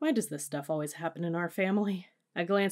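Plain reading aloud over a quiet background.

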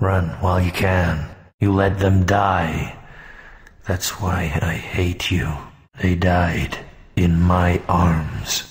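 A raspy man with a very deep, low pitch speaks very slowly in a monotone, flat intonation, his loudness very even and his pauses long and frequent. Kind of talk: action game one-liners. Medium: machinima. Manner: gruff, deadpan, sardonic.

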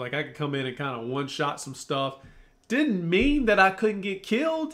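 The man speaks at a fairly quick pace. The background is quiet. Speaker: gaming video creator. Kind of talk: angry rant about a video game. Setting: home, child nearby interrupting. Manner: irate, ranting; repetitive, stumbling, talks in run-on sentences. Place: home room.

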